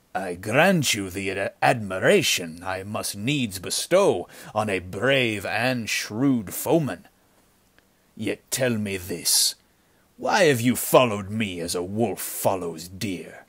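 Using a put-on character voice, a man speaks at a fairly slow pace. His pitch sits fairly low. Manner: mocking, smooth, falsely polite; elaborately unconcerned.

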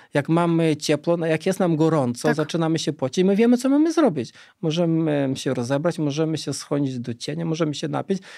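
Over a quiet background, a dark, mellow tone runs at a very fast pace with hardly any pauses and ordinary pitch variation. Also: man, fairly high pitch for a man. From Lithuania, Vilnius region; Lithuania. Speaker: cold exposure researcher; guest. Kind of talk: interview. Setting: studio. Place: studio. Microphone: studio mic.

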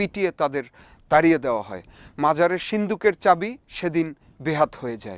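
A high-pitched man with ordinary pitch variation, in a very clean recording with a silent background and a dry, close sound with no echo. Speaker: band musician and folk music researcher. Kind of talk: spoken essay to camera.

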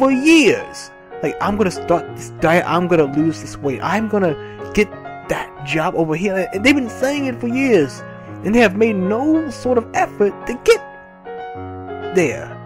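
Music plays in the background as a man talks at a fairly slow pace. He takes long, frequent pauses. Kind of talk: casual motivational talk over gameplay.

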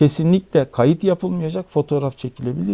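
His pitch swings very widely as a man speaks in a dark, mellow tone. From Turkey, Hatay (İskenderun); Hatay, Turkey. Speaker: music talk host. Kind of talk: storytelling talk. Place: meeting room.

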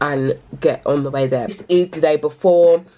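A woman speaks at a moderate pace. Her pitch is very deep and low. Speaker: small business owner vlogger. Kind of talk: casual vlog chat. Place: home room. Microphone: phone near.

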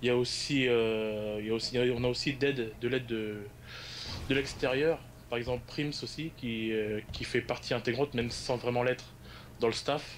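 With long, frequent pauses, a man speaks at a moderate pace and medium pitch in a monotone, flat manner. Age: 20s. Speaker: esports league staff member. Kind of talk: interview.

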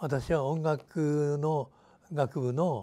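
A man speaks here. His tone is dark and mellow. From Japan, Hiroshima region (Fukuyama); Japan. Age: 90s. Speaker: retired teacher, peace educator, atomic bomb survivor. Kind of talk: interview. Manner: halting. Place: office. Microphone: lapel.

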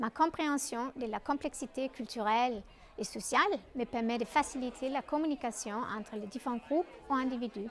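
Someone speaks with a Danish accent over light background noise. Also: woman, high pitch for a woman, ordinary pitch variation, moderate pace. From Denmark. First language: Danish (speaking French). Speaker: documentary filmmaker and anthropologist; presenter. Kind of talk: self-presentation video. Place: studio.

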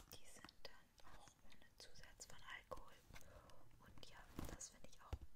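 Somewhat slowly, a woman is whispering. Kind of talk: ASMR whispered product haul. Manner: whispered, close-up.

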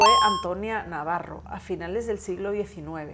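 A woman speaks at a fairly slow pace, her pitch variation ordinary. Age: 40s. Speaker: historian; guest. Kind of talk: educational interview for children. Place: studio.

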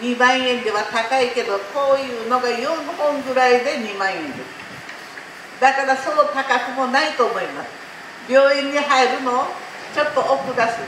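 Over light background noise and with audible room echo, a woman talks at a moderate pace in a high voice with fairly even intonation. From Japan. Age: 80s+. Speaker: cooking instructor. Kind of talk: cooking class lecture. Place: market.

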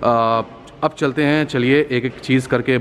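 Light background noise sits behind a man whose intonation stays fairly even. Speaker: car reviewer. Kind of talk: product walkaround commentary. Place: hall. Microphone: phone near.

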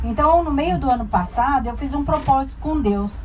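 With light background noise behind her, a woman talks in a Brazilian accent. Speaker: tour group traveler giving testimony. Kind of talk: heartfelt personal testimony, faith-filled life story told to a group. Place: bus.

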